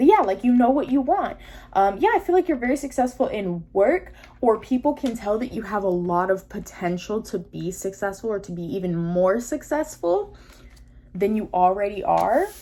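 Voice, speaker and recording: A woman talks with lively intonation. Her pitch is medium. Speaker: tarot reader. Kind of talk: tarot reading monologue. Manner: fast.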